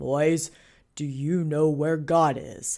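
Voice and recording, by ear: A booming, put-on character voice sits at a middle pitch. The recording is very clean, with a silent background.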